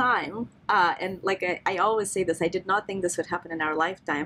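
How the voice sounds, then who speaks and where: With a Russian accent, a woman speaks at a very fast pace in a medium pitch. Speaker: neuroscientist. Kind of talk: podcast interview discussion.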